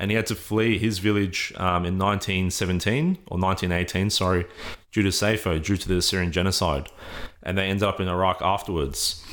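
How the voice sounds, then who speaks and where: The recording is very clean with a silent background. A man with a very deep, low pitch speaks at a fairly quick pace with fairly even intonation. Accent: Australian. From Australia, Sydney. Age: 20s. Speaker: student association president. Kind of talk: interview conversation.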